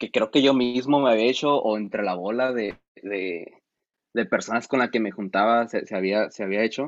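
A man speaks at a moderate pace in a normal speaking voice, his pitch medium. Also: ordinary pitch variation. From San Felipe, Baja California, Mexico. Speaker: musician and producer. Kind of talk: casual chat.

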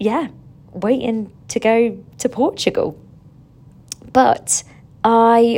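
A woman with an English accent, at a very slow pace. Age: 30s. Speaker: fitness instructor and podcast host. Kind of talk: casual monologue. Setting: hotel room. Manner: animated.

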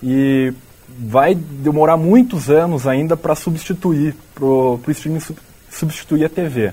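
Speaking very slowly with a Brazilian accent, a man with a fairly high pitch uses ordinary pitch variation. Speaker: student podcast host. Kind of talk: interview.

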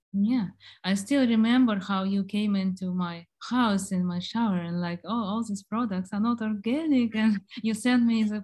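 A woman's somewhat breathy, medium-pitched voice at a moderate pace with ordinary pitch variation, in a very clean recording with a silent background. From Germany and Ukraine. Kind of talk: casual chat.

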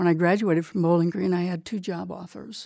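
A woman speaks in an American accent at a moderate pace. She has an ordinary speaking voice with a fairly low pitch. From small town, US. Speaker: military lawyer and prosecutor. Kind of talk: interview. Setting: studio.

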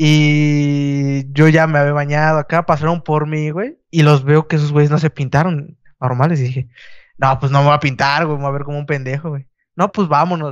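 Against a quiet background, a man with a Mexican accent talks at a moderate pace and a fairly high pitch. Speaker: podcast co-host. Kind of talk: casual chat. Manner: animated.

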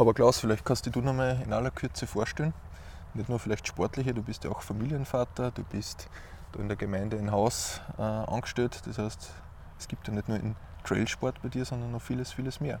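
At a fairly quick pace, a man speaks in a normal speaking voice with a medium pitch and ordinary pitch variation. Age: 30s. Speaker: podcast host. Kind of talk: interview. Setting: outdoors.

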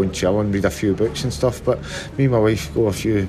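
A man with a Glaswegian accent, fairly low pitch, ordinary pitch variation and a fairly quick pace, amid noticeable background noise. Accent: Glaswegian Scottish. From Scotland, Glasgow (Castlemilk). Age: 40s. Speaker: retired professional footballer. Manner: halting.

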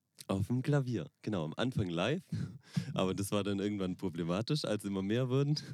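Fairly low in pitch, a man talks at a fairly quick pace with lively intonation and very even loudness. It is an unremarkable speaking voice. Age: 20s. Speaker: wedding pianist. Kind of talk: casual chat. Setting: in a VW bus.

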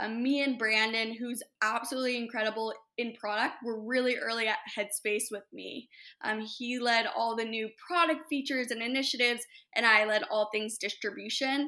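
On a very clean recording with a silent background, a woman with an American accent speaks at a moderate pace. Her voice is fairly high, with a bright, sharp tone and fairly even intonation. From Los Angeles, California. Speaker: startup founder and CEO. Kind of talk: interview.

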